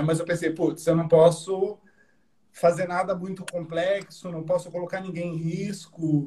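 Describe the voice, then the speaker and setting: At a moderate pace, a man talks with a high pitch. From Brazil, São Paulo. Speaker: filmmaker, former journalist. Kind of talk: casual online interview. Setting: video call.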